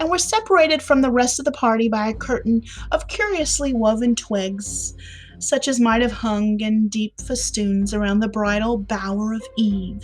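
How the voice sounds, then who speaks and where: A woman with an American accent talks at a moderate pace in a fairly high pitch. Her pitch varies in an ordinary way, with music playing in the background. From Southern United States. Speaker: podcast host. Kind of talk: classic short story reading.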